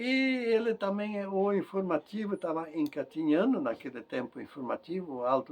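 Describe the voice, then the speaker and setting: A high-pitched man at a moderate pace, very wide pitch swings, noticeable background noise. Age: 70s. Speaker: retired local journalist. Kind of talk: life story interview. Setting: interview at his home. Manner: halting.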